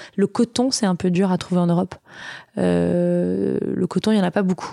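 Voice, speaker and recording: A woman's medium-pitched voice, dark and mellow in tone, at a moderate pace, on a very clean recording with a silent background. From Auvergne, France (Vichy). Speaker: entrepreneur, founder of a baby products company. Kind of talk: interview conversation. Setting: studio, host's offices.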